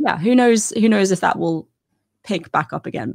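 A woman with a British accent speaks at a moderate pace, her pitch swinging very widely. The recording is very clean and silent behind her, the sound dry and close with no echo. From England. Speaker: Assyriologist and educational content creator. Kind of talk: casual interview conversation.

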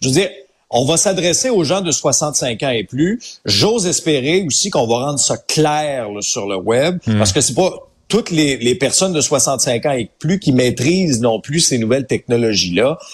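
Pitched fairly high, a man speaks at a fairly slow pace. His voice is somewhat breathy, with very wide pitch swings. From Quebec, Abitibi. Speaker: radio host, social commentator. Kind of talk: casual chat. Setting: studio.

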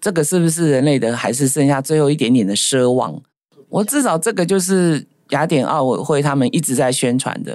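A woman's very deep, low voice with lively intonation. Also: fairly quick pace. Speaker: podcast co-host, diplomat's wife. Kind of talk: casual chat.

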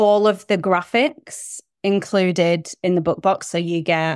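In a very clean recording with a silent background, a woman speaks with a British accent. Her voice is fairly low, and her pace is very slow. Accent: British, living in New Zealand 15 years. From UK. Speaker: small business owner, book box subscription. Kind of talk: casual interview chat.

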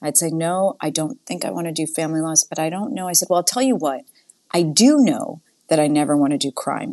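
With an American accent, a woman speaks at a fairly low pitch and a fairly quick pace. Her tone is dark and mellow, and the background is quiet. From Massachusetts (Framingham, near Boston). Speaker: nonprofit CEO. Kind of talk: interview.

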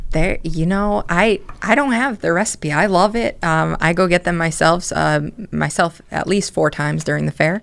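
Vocal fry and lively intonation on a very clean recording with a silent background. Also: woman, fairly low pitch for a woman, moderate pace. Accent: American. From Connecticut, New Britain. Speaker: fair organizer, social media and entertainment lead. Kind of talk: radio interview.

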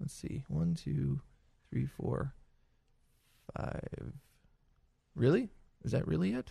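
Speaking very slowly with long, frequent pauses, a man at medium pitch swings his pitch very widely, with vocal fry in his voice. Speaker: podcast host. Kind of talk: casual chat. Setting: studio.

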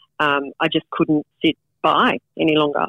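Using fairly even intonation, a woman with an Australian accent talks at a moderate pace in a very deep, low pitch. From Australia (Canberra in teens). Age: 40s. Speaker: political candidate, former lawyer. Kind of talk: interview.

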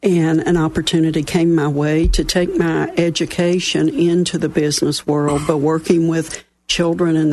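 A voice with an Appalachian accent at a moderate pace, hardly pausing at all. Loudness stays very even and the intonation fairly even. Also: woman. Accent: Southern US (Appalachian). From West Virginia. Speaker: local business mentoring chapter chair. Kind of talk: casual radio interview. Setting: studio.

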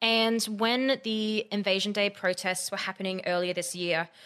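A woman speaks at a medium pitch with an Australian accent, her tone bright and sharp. Her pitch varies in an ordinary way, and the recording is very clean with a silent background. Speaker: podcaster, media company founder. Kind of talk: casual chat.

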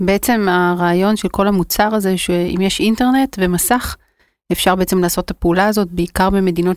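A woman with a normal speaking voice talks at a fairly quick pace and medium pitch with fairly even intonation, captured on a very clean recording with a silent background and a dry, close sound with no echo. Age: 40s. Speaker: startup founder and CEO. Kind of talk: interview.

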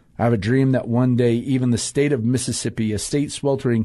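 A man's dark, mellow tone at a medium pitch over a quiet background. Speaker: pastor and fill-in radio host. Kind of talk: casual talk radio monologue. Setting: radio studio. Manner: frequent hesitations and filler words; warm and chatty, self-deprecating humor.

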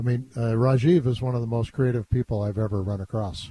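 A man speaks at a medium pitch with fairly even intonation. His tone is dark and mellow and somewhat breathy. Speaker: guest host, elder law advisor. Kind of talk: call-in radio show. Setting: studio. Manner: casual, jokey.

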